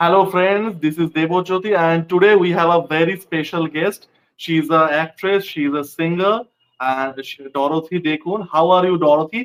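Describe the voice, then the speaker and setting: Speaking in a Bengali accent, a man with a high voice keeps a moderate pace and fairly even intonation. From India, West Bengal. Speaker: interviewer, film critic. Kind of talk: interview. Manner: casual, informal.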